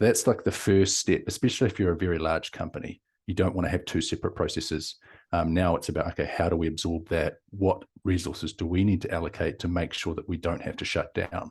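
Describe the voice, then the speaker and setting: A man with a New Zealand accent talks at a very fast pace, his pitch very deep and low. His voice is somewhat breathy with fairly even intonation, against a quiet background. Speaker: company founder and CEO. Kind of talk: interview.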